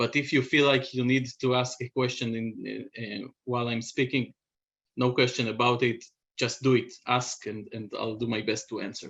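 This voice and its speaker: A man's medium-pitched voice with a non-native accent, fairly even intonation and a moderate pace. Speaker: biotech company CEO. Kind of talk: presentation. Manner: halting, many fillers.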